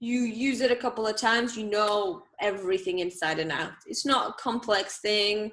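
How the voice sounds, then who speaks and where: With a Bulgarian accent, a woman speaks in a fairly high pitch with lively intonation and hardly any pauses. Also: moderate pace. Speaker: live streaming specialist. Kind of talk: interview.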